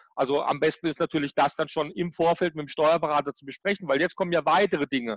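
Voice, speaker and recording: A man with a fairly high voice talks at a very fast clip, barely pausing and keeping his intonation fairly even. His loudness swings widely, and the sound is dry and close with no echo. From Germany, Baden (Karlsruhe). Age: 40s. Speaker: tax and business consultant. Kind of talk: interview.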